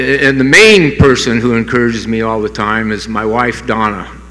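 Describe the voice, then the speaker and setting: A man with a medium-pitched, monotone, flat delivery speaks at a moderate pace amid noticeable background noise and audible room echo. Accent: American. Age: 70s. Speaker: hall of fame inductee, surfer and skateboarder. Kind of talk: acceptance speech. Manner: halting, many fillers.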